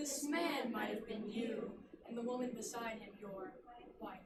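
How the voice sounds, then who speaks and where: A put-on character voice from a female-sounding speaker, fairly high in pitch, at a moderate pace, with a slight echo and clear background noise. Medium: stage play. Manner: solemn, measured.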